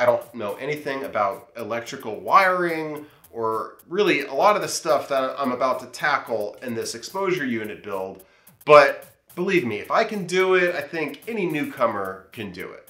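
A man's bright, sharp voice with vocal fry at a moderate pace, big swings in loudness and audible room echo. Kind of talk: tutorial vlog intro. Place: workshop.

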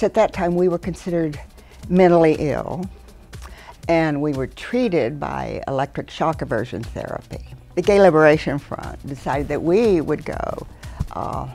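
A woman keeps a moderate pace while faint music sounds in the background. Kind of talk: interview answer. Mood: amused, reminiscing. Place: studio.

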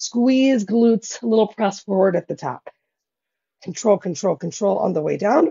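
A woman talks at a moderate pace with a quiet background. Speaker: fitness instructor. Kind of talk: workout instruction. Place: home room.

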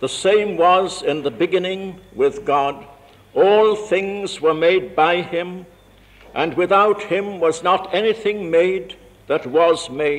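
This man has a high pitch and a solemn tone. His pace is very slow. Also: ordinary pitch variation. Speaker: university vice chancellor. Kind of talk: scripture reading at a carol service. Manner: slow, solemn. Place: church. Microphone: old recording.

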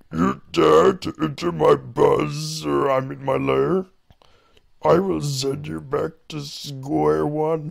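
A put-on character voice at a very slow pace. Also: man. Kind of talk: theatrical, ominous. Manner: villainous.

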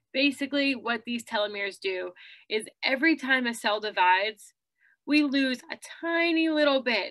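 Against a quiet background, a woman talks at a moderate pace in a bright, sharp tone with ordinary pitch variation. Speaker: presenter. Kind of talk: lecture. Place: home room. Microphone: webcam.

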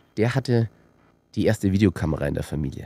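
This man's dark, mellow voice has vocal fry and very wide pitch swings, heard in a dry sound with no echo. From rural Austria. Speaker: filmmaker and company director; guest. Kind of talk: casual interview. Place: studio. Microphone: studio mic.

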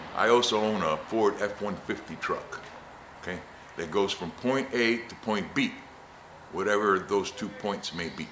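Moderate pace and ordinary pitch variation, with light background noise and audible room echo. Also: man. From Puerto Rico. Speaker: motorcycle and scooter rider; military veteran. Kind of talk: interview answer. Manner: casual, enthusiastic. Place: shop.

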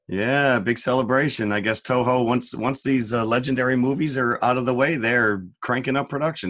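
At a medium pitch, the man delivers his words at a moderate speed. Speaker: film review podcast co-host. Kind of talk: casual chat. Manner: animated.

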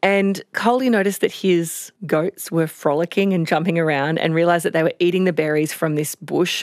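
A fairly low-pitched woman's voice with an Australian accent, at a fairly quick pace with ordinary pitch variation and very even loudness, dry and close with no echo on a very clean recording with a silent background. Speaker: health reporter. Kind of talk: casual chat. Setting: studio.

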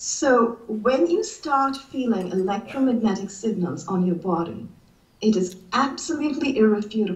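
In a room with audible echo, a woman talks at a moderate pace and a fairly high pitch, her intonation lively. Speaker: writer and college teacher. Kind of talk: interview. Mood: earnest, distressed storytelling. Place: home room. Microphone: video call.

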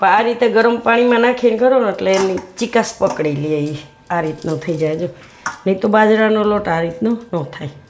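A woman talks with lively intonation at a medium pitch. Noticeable background noise can be heard. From Gujarat, India (Surat). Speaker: cooking channel host. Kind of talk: cooking tutorial.

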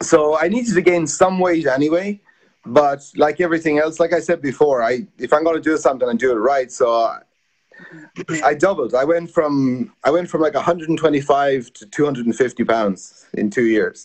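A man speaks with an Irish accent. His pitch is fairly high. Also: lively intonation, moderate pace. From Ireland. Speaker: sports journalist, former sumo wrestler. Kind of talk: interview. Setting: video call. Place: home room. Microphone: video call.

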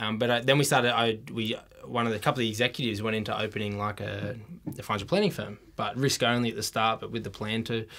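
With a bright, sharp tone, a man in an Australian accent talks at a very fast pace. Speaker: financial adviser, ex-military; podcast guest. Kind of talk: casual interview chat. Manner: energetic. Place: studio. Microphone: studio mic.

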